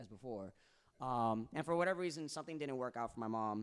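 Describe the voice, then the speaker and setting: A man talks at a very fast pace in a New York accent. His intonation is lively. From New York, Bronx. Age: 30s. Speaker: singer and rapper. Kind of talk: casual chat.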